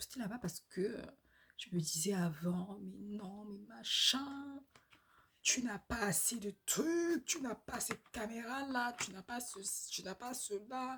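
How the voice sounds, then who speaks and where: Her voice is somewhat breathy and sits at medium pitch. This woman's pitch swings very widely. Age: 20s. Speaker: vlogger. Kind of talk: casual monologue vlog. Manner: hesitant, many fillers.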